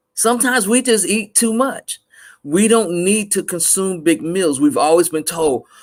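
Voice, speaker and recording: With an American accent, a man speaks in a high pitch. His intonation is lively. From US South, Mississippi. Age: 50s. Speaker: panelist on a health talk show. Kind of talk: panel discussion.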